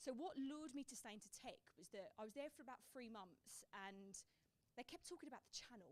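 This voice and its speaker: Speaking at a fairly quick pace with a strong Essex accent, a woman lets her pitch swing very widely. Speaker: tech sales professional. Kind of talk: panel discussion. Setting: live event with audience.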